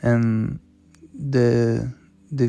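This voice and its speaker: Music plays in the background. Over it, a man speaks with a non-native accent. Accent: non-native English, noticeable. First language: not English. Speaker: podcaster. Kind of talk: personal monologue. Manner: halting, many repetitions and fillers.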